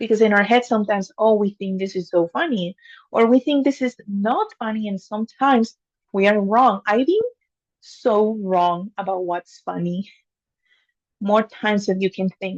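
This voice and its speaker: Recorded dry and close with no echo, a woman with a non-native accent speaks at a moderate pace in a medium-pitched voice with ordinary pitch variation. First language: not English. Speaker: engineer and amateur public speaker. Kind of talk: practice speech to camera. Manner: unscripted, with filler words.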